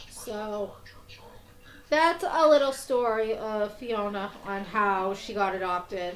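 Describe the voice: Very slow delivery with a Boston accent, lively intonation and big swings in loudness. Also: woman, fairly high pitch for a woman.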